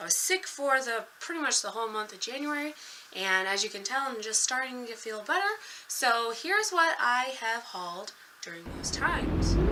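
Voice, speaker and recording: A woman speaks with lively intonation and big swings in loudness. Music plays in the background. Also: fairly high pitch for a woman, moderate pace. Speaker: book vlogger. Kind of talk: casual chat.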